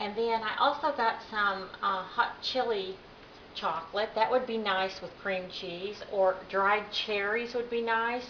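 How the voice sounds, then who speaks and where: A woman with an American accent, medium-pitched, fairly even in intonation and fairly slow, with audible room echo. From Oklahoma. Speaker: home cook, cooking contest entrant. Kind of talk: cooking tutorial. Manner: casual, chatty.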